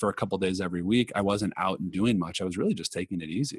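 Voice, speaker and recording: Very fast and very deep, a man with a Californian accent speaks with ordinary pitch variation in a dry, close sound with no echo. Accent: General American, California. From Los Angeles. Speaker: meditation movement founder. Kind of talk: interview. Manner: calm.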